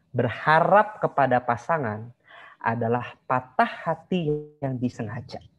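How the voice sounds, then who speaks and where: Over noticeable background noise, a man speaks with lively intonation and a somewhat breathy voice. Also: fairly slow pace. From Bandung, West Java; West Java. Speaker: marriage consultant; online class teacher. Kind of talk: online class lecture. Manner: animated. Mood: relaxed, conversational. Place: home room. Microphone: video call.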